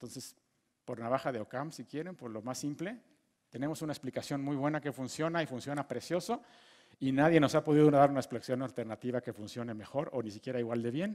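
Against a quiet background, a man with a Mexican accent talks at a very fast pace with ordinary pitch variation. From Mexico. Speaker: physicist giving a lecture course. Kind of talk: lecture. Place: hall. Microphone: headset.

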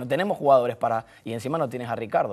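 This is a man speaking. His pace is very fast. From Canary Islands, Tenerife; Canary Islands. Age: 20s. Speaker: football coach; football coach guest. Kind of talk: sports talk show. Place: studio. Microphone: lapel.

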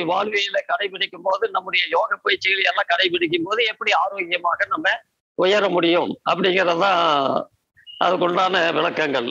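A man uses a raised, projected voice, high in pitch, with fairly even intonation and very even loudness. The sound is dry and close, with no echo. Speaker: naturopathy adviser and yoga teacher. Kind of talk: Q&A advice session.

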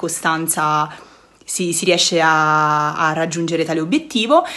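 At a moderate pace, a woman with a fairly low pitch speaks with fairly even intonation. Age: 20s. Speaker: former student, university student. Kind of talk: testimonial. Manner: halting, with fillers. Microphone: phone near.

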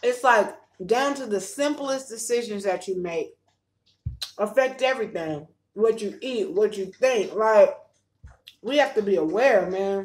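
A woman speaks with lively intonation. She leaves long, frequent pauses. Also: fairly slow pace. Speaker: vlogger. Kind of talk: casual vlog chat with faith talk. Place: home room. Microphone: phone near.

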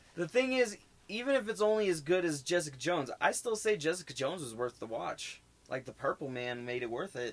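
A man with an American accent talks at a fairly quick pace, his pitch swinging very widely. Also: fairly high pitch for a man. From Denver, Colorado. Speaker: podcast co-host. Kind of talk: casual chat. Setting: live stream.

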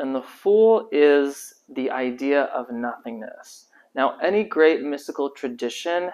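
A man speaks at a fairly slow pace. His intonation is lively. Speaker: tarot teacher. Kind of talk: lecture. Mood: warm, enthusiastic. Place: home room.

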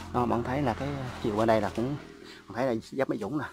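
Very fast speech with a dry, echo-free sound and noticeable background noise. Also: man. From Mekong Delta, Vietnam (Vinh Long); Mekong Delta, Vietnam. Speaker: YouTuber showing a family coconut garden. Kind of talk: casual vlog walk-through. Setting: outdoors in a coconut garden. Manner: halting, many fillers. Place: garden. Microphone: phone near.

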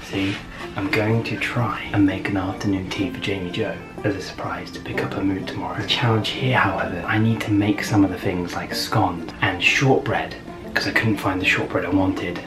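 A man talks at a fairly quick pace. Clear music sounds behind him. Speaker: vlogger husband. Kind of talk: casual vlog chat. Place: home room. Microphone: camera far.

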